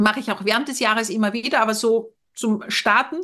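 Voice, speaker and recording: This is a woman with a plain, everyday voice. Her pitch is fairly high, with ordinary pitch variation. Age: 50s. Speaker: family counsellor and former teacher. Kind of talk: casual chat.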